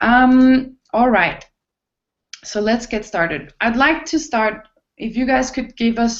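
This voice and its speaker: Speaking at a fairly slow pace, a woman talks with a non-native accent. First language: not English. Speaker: online talk show host. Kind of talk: hosted panel discussion. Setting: video call. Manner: halting.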